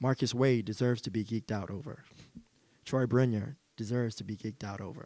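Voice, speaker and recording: His pitch sits at a medium level for a man. He talks at a moderate speed with ordinary pitch variation. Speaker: talk show host. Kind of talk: motivational closing speech to live audience. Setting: stage with live audience.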